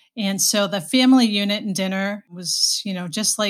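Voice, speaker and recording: In a very clean recording with a silent background, a woman speaks in a somewhat breathy, medium-pitched voice with ordinary pitch variation. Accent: American. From Boston, Massachusetts. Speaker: HR executive, former nurse. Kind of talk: interview.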